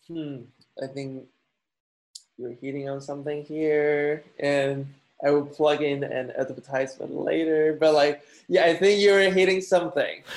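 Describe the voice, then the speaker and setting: A man with a Chinese accent, fairly high in pitch, fairly slow, fairly even in intonation, with big swings in loudness. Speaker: architecture student. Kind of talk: casual chat. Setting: video call.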